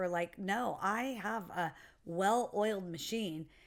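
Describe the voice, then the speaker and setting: A woman's medium-pitched voice with fairly even intonation, in a very clean recording with a silent background. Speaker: podcast co-host, producer and actor. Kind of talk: casual podcast discussion. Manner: loud.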